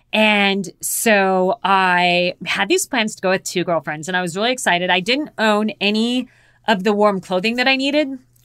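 A woman's normal speaking voice at a medium pitch, moderate in pace with ordinary pitch variation, in a dry, close sound with no echo. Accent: American. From US Southwest, Phoenix, Arizona. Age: 50s. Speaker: polar explorer and mountaineer. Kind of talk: interview, storytelling.

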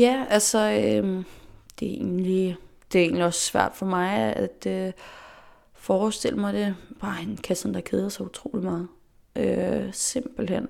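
A woman talks at a fairly slow pace. Long, frequent pauses break up her speech. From Faroe Islands. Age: 20s. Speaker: dancer and dance teacher. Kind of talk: interview. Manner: hesitant, many fillers.

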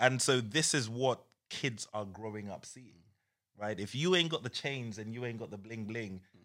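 The voice has a bright, sharp tone with a British accent. Pitch variation is ordinary. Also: man, medium pitch for a man, moderate pace, big swings in loudness, very clean recording, silent background. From UK. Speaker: entrepreneur. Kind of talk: casual chat.

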